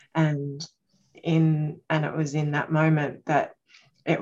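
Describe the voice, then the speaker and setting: A woman speaks with an Australian accent at a fairly slow pace. Her pitch is very deep and low. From Australia, Queensland. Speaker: circle participant. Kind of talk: casual sharing in support circle. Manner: calm.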